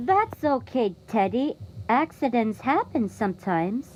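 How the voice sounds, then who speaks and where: A put-on character voice moves at a moderate pace. Background noise is clearly audible. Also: female-sounding voice, fairly high pitch for a woman. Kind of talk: audio drama dialogue.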